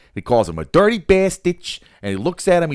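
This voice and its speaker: A man's gruff, put-on character voice in a Jersey accent, high-pitched and fairly quick, with very wide pitch swings and big swings in loudness, in a dry, close sound with no echo. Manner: gruff, dumb.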